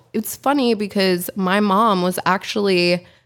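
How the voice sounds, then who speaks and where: With an American accent, a woman of medium pitch talks in an ordinary speaking voice with fairly even intonation. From Pennsylvania, Poconos. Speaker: fashion brand owner. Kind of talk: casual interview.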